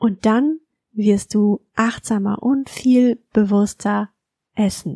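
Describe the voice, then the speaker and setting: Somewhat breathy and dark, mellow in tone, a woman speaks at a fairly high pitch with ordinary pitch variation and a calm, soothing tone, the sound dry and close with no echo. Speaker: podcast host and mindful eating coach. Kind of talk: guided meditation. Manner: slow, calm, soothing; gentle, soft-spoken, instructing.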